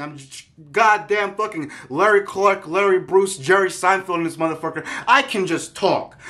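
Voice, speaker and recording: Over a quiet background, a man projects a raised voice with a bright, sharp tone at a fairly quick pace. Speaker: online streamer and video creator. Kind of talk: angry solo rant to camera. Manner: agitated, profane ranting. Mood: irritated, mocking. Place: home room. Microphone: phone near.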